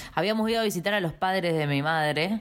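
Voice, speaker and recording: Using a plain, everyday voice, a woman talks at a fairly quick pace with lively intonation. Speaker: podcast co-host. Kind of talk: casual chat.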